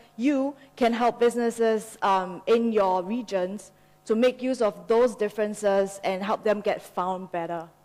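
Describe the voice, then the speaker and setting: Her pitch is fairly high for a woman, with ordinary variation. She speaks at a moderate pace. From Singapore. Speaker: business partnerships manager, conference speaker. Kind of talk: conference talk.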